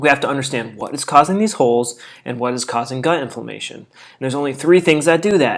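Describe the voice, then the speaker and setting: A man talks at a very fast pace in a fairly high pitch, his animated tone carrying big swings in loudness and ordinary pitch variation. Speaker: health and nutrition video host. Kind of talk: casual tutorial.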